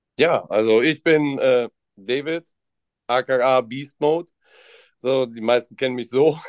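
Delivered in a dry, close sound with no echo, the speech goes at a very slow pace with long, frequent pauses. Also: man, medium pitch for a man. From Mönchengladbach, western Germany. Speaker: trading card shop employee. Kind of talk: casual chat.

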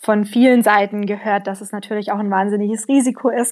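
A woman with a plain, everyday voice speaks at a medium pitch and a moderate pace with fairly even intonation. The sound is dry and close, with no echo. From Allgäu, southern Germany. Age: 20s. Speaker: emigrant, trainee primary school teacher. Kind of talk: interview.

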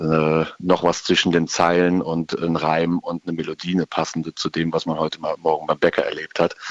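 A man speaks with a very deep, low pitch. The sound is dry and close, with no echo. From Germany, Rhein-Sieg-Kreis. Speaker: rock band guitarist. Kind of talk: interview. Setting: phone or remote line.

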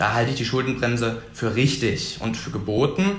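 A man at medium pitch, with noticeable background noise and audible room echo. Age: 20s. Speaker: young member of parliament. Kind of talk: debate.

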